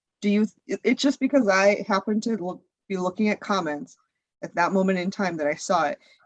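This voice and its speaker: A woman talks in a plain, everyday voice at medium pitch with ordinary pitch variation. The sound is dry and close, with no echo. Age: 40s. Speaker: content creator. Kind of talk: interview answer.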